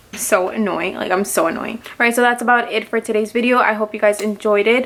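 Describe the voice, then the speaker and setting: A woman with a fairly high pitch talks at a very fast pace in an animated tone. Background noise is noticeable. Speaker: beauty and fragrance youtuber. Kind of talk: product review vlog.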